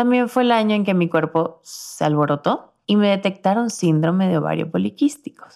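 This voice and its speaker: Speaking at a moderate pace, a woman with an unremarkable speaking voice and medium pitch uses lively intonation. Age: 20s. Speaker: podcast host. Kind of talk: scripted narration. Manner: warm, intimate.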